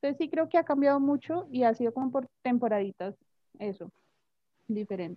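A woman with a high pitch talks at a fairly quick pace with lively intonation. Her pauses are long and frequent. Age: 20s. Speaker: English teacher. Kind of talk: casual chat.

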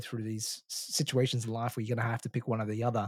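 A man's normal speaking voice, medium in pitch, at a fairly quick pace, with a dry, close sound and no echo. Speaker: podcast host. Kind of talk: casual interview chat.

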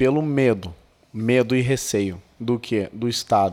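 Here is an ordinary speaking voice, a man at medium pitch with ordinary pitch variation and a fairly slow pace. The recording is very clean, with a silent background. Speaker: gun rights activist. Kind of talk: casual interview.

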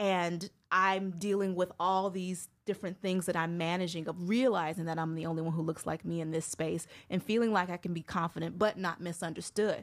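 A woman with an ordinary speaking voice talks at a fairly quick pace with a fairly low pitch and fairly even intonation, on a very clean recording with a silent background. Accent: American. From Chicago, US Midwest. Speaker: speech pathologist and communication coach. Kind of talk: casual interview.

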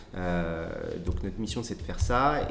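A man's voice with audible room echo. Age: 30s. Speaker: political party staff member. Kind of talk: interview. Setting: party headquarters office. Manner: halting, many repetitions and fillers.

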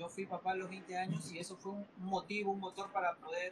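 A man speaks at a moderate pace with a high pitch. His intonation is flat and monotone. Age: 20s. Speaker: entrepreneur. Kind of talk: interview. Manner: halting, many fillers and repetitions.

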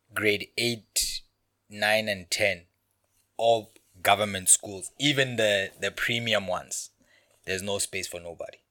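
A man with a Lesotho accent, fairly low pitch, a bright, sharp tone and a fairly slow pace. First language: Sesotho. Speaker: podcast guest. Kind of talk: casual chat.

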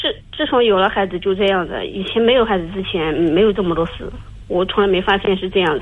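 A woman at a medium pitch, talking at a very fast pace. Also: ordinary pitch variation. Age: 30s. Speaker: caller. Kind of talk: call-in confiding problems. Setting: phone call. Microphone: headset with loud breathing, then too quiet.

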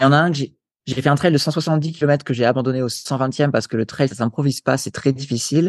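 A man talks at a fairly quick pace in a fairly high pitch with fairly even intonation. He has an ordinary speaking voice, and the background is quiet. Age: 30s. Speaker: sports nutrition coach and endurance athlete. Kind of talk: interview conversation. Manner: casual, filler-heavy.

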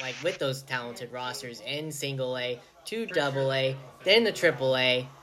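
Noticeable background noise sits behind this man. His pitch is fairly high, with ordinary variation. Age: young. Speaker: podcast host. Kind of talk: interview. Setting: video call.

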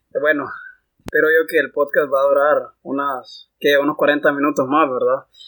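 A man's fairly high-pitched voice, bright and sharp in tone, flat and monotone in intonation, at a moderate pace. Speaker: engineering student representative. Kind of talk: casual chat.

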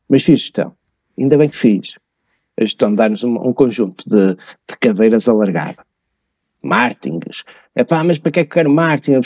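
The voice moves at a fairly quick pace with lively intonation and a dark, mellow tone, recorded dry and close with no echo. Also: man. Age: 50s. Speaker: tax and finance expert. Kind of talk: podcast interview. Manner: hesitant, with many fillers.

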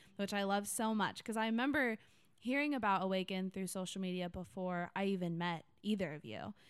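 A woman talks fairly quickly, her pitch medium and its variation ordinary. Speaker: podcast host. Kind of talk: casual chat.

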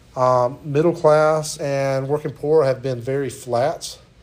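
Audible room echo follows this man's voice. He speaks in a fairly high pitch. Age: 40s. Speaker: college instructor. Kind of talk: lecture.

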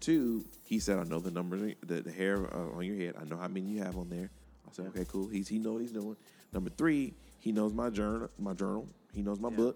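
This man has a very deep, low pitch and a dark, mellow tone. He talks at a fairly quick pace with an American accent. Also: lively intonation. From Miami, Florida. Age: 30s. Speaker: podcast host. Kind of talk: casual chat. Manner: halting.

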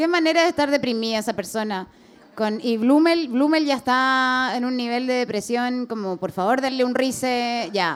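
A woman's high voice in a Chilean accent at a moderate pace. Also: ordinary pitch variation. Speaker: comedian and podcast host. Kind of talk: live podcast with audience. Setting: stage with audience.

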